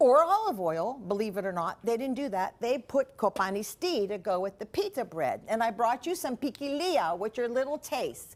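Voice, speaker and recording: A woman speaks at a fairly high pitch with very wide pitch swings. She keeps a moderate pace and hardly pauses. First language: Greek. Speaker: cooking show host. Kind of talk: cooking demonstration. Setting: TV studio kitchen.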